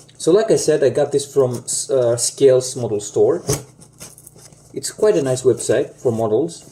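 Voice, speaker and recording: Speech at a moderate pace comes with long, frequent pauses and noticeable background noise. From Greece. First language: Greek. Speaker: aviation model collector YouTuber. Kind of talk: unboxing video talk. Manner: hesitant, many fillers.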